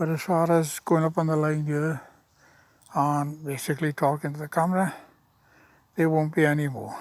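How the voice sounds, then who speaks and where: A man with a fairly high voice speaks at a moderate pace, leaving long, frequent pauses. His intonation is monotone and flat, and the recording is very clean with a silent background. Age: 70s. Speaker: vlogger. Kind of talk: casual monologue to camera. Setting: outdoors. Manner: halting.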